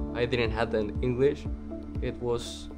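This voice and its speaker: Clear music plays while a man with a Spanish accent talks at a very slow pace. His intonation is lively. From Mexico City. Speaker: college student. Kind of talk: interview answer. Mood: calm, sincere. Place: classroom.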